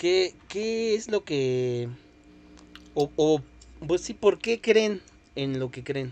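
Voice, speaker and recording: A man speaks very slowly in a fairly high pitch, with long, frequent pauses. His pitch swings very widely. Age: 20s. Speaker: podcast host. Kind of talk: casual chat.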